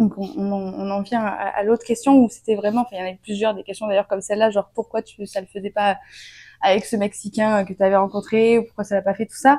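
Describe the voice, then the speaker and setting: This dark, mellow voice moves at a fairly quick pace with big swings in loudness, captured with a dry, close sound and no echo. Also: woman, medium pitch for a woman. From France. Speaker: vlogger. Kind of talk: casual storytime vlog. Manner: animated, hesitant with fillers.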